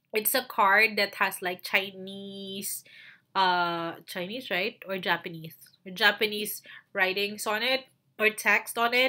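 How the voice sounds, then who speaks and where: A woman with a Filipino accent speaks at a very slow pace in a bright, sharp tone, her medium pitch fairly even, in a very clean recording with a silent background. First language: Tagalog. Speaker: virtual assistant and YouTuber. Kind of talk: tutorial. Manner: halting, many fillers.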